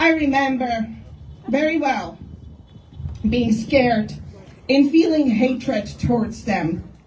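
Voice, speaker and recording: With audible room echo and noticeable background noise, a woman speaks very slowly in a high voice, her intonation lively and her pauses long and frequent. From Czechoslovakia. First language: Czech. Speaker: activist. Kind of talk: rally speech.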